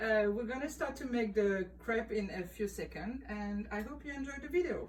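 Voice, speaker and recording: Moderate-paced speech from a woman with a fairly high pitch, amid audible room echo and noticeable background noise. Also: ordinary pitch variation. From France, Île de Ré. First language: French. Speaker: former restaurant owner. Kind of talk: cooking tutorial. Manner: casual, with hesitations.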